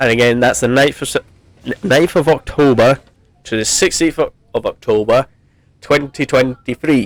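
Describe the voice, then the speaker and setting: Delivered at a moderate pace with long, frequent pauses and ordinary pitch variation, the voice has a dry, close sound with no echo. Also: man, medium pitch for a man. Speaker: gaming YouTuber. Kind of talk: gameplay commentary. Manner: halting, many false starts; loud.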